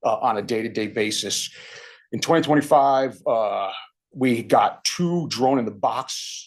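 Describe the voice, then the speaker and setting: The man talks at medium pitch with fairly even intonation. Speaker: physical security manager presenting to board committee. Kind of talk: committee presentation. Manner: fast.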